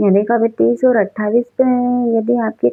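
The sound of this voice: A woman talks at a fairly slow pace with vocal fry and a slightly husky edge, the sound dry and close with no echo.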